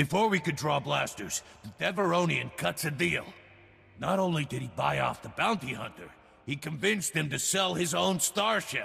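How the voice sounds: Using a put-on character voice, a man talks at a moderate pace with a fairly high pitch, lively intonation, a bright, sharp tone, a slightly husky edge and vocal fry.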